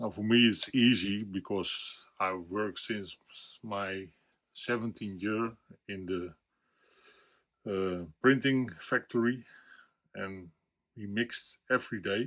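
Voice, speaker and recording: A man speaks very slowly with a Dutch accent and fairly low pitch, his intonation fairly even. Long, frequent pauses break up his speech on a very clean recording with a silent background. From Netherlands. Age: 60s. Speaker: watercolor painting teacher. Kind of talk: tutorial. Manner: halting.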